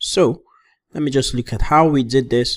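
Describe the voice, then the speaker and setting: A man with a plain, everyday voice, at a moderate pace and ordinary pitch variation, in a very clean recording with a silent background. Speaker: programming instructor. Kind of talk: coding tutorial.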